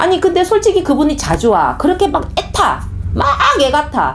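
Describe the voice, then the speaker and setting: A strong Gyeongsang accent at a moderate pace, over noticeable background noise. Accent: Gyeongsang dialect, strong pronunciation. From Gyeongsang region, South Korea. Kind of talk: sermon-style talk. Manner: conversational, storytelling.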